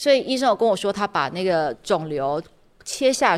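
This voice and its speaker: In a normal speaking voice, a woman talks at a fairly quick pace and medium pitch on a very clean recording with a silent background. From Taiwan, Tainan. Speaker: podcast host and startup consultant. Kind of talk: casual interview chat.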